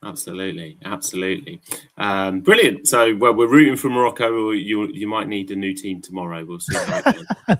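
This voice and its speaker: Speaking at a fairly quick pace in an English accent, a man with a fairly low pitch shows big swings in loudness. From England. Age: 40s. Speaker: crypto project representative. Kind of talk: live stream AMA chat.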